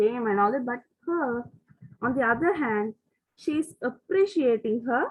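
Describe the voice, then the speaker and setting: A woman talks at a moderate pace in an ordinary speaking voice, her intonation lively. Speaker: literature teacher. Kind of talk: lecture.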